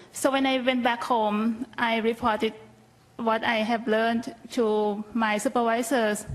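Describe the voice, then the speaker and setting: A woman with a Thai accent speaks fairly slowly in a fairly high pitch, her intonation monotone and flat and her loudness very even. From Thailand. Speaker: health policy researcher. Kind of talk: conference panel talk. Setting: conference stage with audience.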